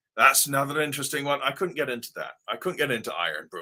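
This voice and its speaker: Vocal fry runs through a man's bright, sharp tone. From Devon, England and Ohio, US. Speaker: wig company co-owner and livestream host. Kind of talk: livestream chat reading viewer comments. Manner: animated, casual.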